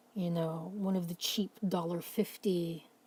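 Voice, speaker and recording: At a fairly slow pace, a woman speaks in a fairly low, somewhat breathy voice with a dark, mellow tone and fairly even intonation. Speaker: mental health vlogger. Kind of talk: casual late-night talk to camera. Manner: rambling, pausing, stuttering.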